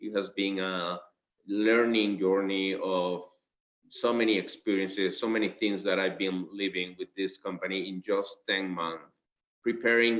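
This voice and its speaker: In a Spanish accent, a man talks at a fairly slow pace with monotone, flat intonation. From Venezuela. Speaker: company director. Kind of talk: business presentation. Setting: video call. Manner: halting.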